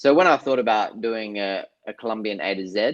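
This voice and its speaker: With an Australian accent, the speaker keeps a moderate pace and ordinary pitch variation. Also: man. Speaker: artist and filmmaker. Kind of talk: interview.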